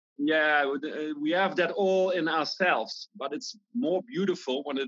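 A man's fairly slow speech with lively intonation, in a Dutch accent. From Netherlands. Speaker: breathwork teacher. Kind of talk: interview.

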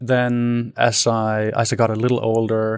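A man with a Danish accent, medium-pitched and flat in intonation, on a very clean recording with a silent background. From Denmark. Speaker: tech entrepreneur. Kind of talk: interview.

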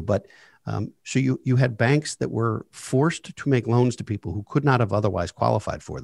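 On a very clean recording with a silent background and a dry, close sound with no echo, a man of medium pitch talks fairly quickly with vocal fry. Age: 40s. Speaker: financial advisor and wealth manager. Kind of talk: interview on personal finance.

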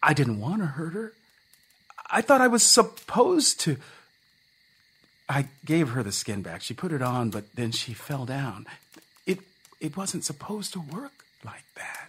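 A man's put-on character voice, fairly high and mumbling, at a moderate pace with long, frequent pauses, very wide pitch swings and big swings in loudness. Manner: mumbling, defensive, pleading.

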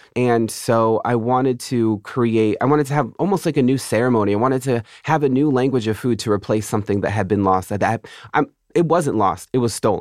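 With an American accent, a man talks at a fairly quick pace in a medium pitch with ordinary pitch variation and very even loudness over a quiet background, an unremarkable speaking voice. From Southern California, reservation near San Diego. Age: 30s. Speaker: poet. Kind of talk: interview conversation.

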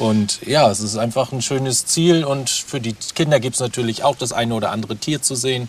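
Over noticeable background noise, a man talks fairly quickly at a medium pitch with ordinary pitch variation. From Mecklenburg, Waren. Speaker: nature education farm worker. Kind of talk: guided tour.

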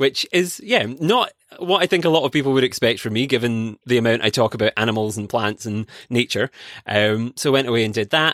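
A man with a Scottish accent, medium pitch and ordinary pitch variation, at a fairly quick pace, on a very clean, silent recording with a dry, close sound and no echo. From Scotland. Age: 20s. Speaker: PhD student and conservation podcaster. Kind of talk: casual interview chat. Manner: animated.

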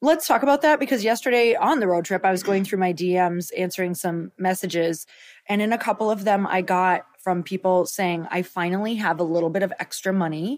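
In a very clean recording with a silent background, a woman speaks fairly quickly with hardly any pauses, using an ordinary speaking voice of medium pitch and ordinary pitch variation. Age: 40s. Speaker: podcast co-host and entrepreneur. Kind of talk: casual chat. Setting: on a road trip stop at home.

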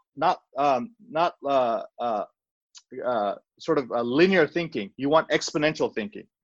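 A man with a normal speaking voice talks at a fairly slow pace and fairly high pitch, with lively intonation and a dry, close sound with no echo. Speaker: cardiologist and entrepreneur. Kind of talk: casual interview.

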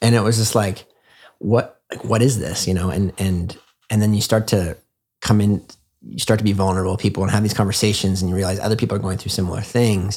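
On a very clean recording with a silent background, a man with a Canadian accent speaks at a very fast pace and fairly low pitch, his intonation fairly even. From Canada, small town. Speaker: former finance worker turned wellness enthusiast. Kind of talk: casual chat. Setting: in-person at host's home.

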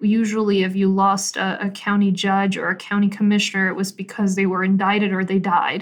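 A woman with a medium pitch talks at a fairly quick pace, with hardly any pauses and monotone, flat intonation. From Colombia, then Peru and Mexico. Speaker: county executive, politician. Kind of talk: interview.

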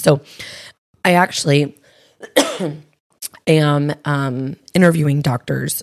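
A woman with a low, raspy voice and a slightly mellow tone speaks at a fairly slow pace with fairly even intonation.

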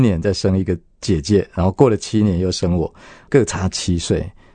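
A quiet background surrounds the speaker. The voice carries a dark, mellow tone. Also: man. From Taiwan, Yunlin County. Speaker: elementary school principal. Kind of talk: testimony. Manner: warm, with frequent fillers.

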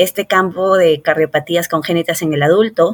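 The speaker is a woman. Her pitch is fairly low. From Peru, Lima. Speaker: cardiologist. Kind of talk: interview. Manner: hesitant with frequent fillers.

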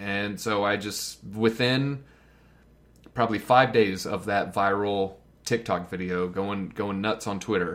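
Fairly low in pitch, this man has a normal speaking voice. He keeps a fairly slow pace and fairly even intonation. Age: 30s. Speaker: content creator. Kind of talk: casual chat.

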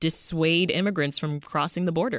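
A woman speaks in an American accent at a moderate pace, her pitch fairly low. She has an ordinary speaking voice, and the recording is very clean with a silent background. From outside the US. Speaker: radio news host. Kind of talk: radio interview. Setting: radio studio.

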